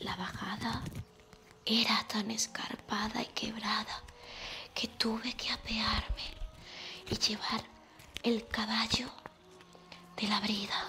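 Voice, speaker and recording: Long pauses come often as a woman whispers. Her pace is very slow. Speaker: reader of a travel narrative. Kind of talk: literary reading aloud.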